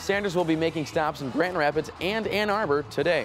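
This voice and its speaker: With music in the background, a man talks at a fairly quick pace in an American accent and lively intonation. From United States. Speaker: TV news anchor. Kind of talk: TV news read. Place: studio. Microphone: lapel.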